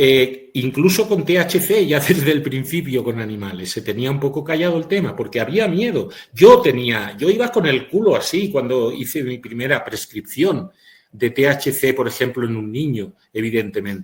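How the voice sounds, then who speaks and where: Somewhat breathy, this man's voice is fairly high and full of lively intonation. He keeps a moderate pace. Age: 60s. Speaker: physician. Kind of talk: webinar lecture.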